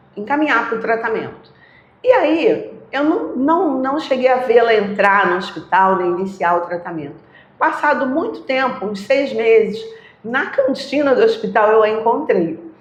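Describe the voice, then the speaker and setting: Amid audible room echo, a woman speaks fairly slowly at a fairly high pitch with very wide pitch swings. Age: 60s. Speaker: retired oncology nurse. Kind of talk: interview, personal storytelling.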